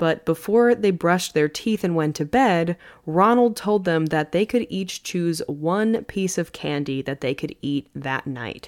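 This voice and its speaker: Over a very clean recording with a silent background, a woman with an unremarkable speaking voice talks at a fairly slow pace, her fairly low pitch carried by lively intonation. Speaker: podcast host. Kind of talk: true-crime narration. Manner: steady, even storyteller pacing.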